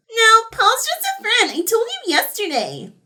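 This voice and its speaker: A woman puts on a squeaky character voice, extremely high in pitch with ordinary variation, at a moderate pace. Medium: read story. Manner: timid, nervous.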